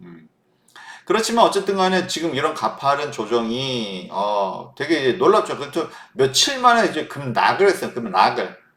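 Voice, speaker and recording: An animated tone carries very wide pitch swings and big swings in loudness. The pace is moderate. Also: man, fairly high pitch for a man. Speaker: stock market analyst. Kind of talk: market commentary monologue.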